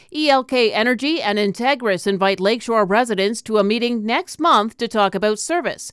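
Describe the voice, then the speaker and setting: Recorded very cleanly against a silent background, a woman with a plain, everyday voice speaks at a moderate pace, fairly high in pitch with lively intonation. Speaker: local news anchor. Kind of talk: newsreading, brisk scripted local news bulletin. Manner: brisk, even and businesslike.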